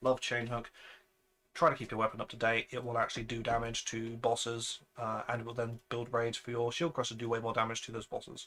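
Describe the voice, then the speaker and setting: With a British accent, a man talks at a fairly quick pace and medium pitch, his tone bright and sharp and his intonation monotone and flat. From Britain. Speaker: video game content creator. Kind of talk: tutorial. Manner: casual, with frequent fillers and restarts.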